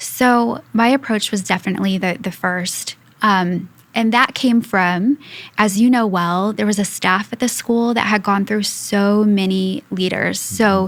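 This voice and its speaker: The woman's pitch sits in the medium range for a woman. She talks at a fairly slow pace with fairly even intonation. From US Midwest, Indiana. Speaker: school executive. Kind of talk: podcast interview.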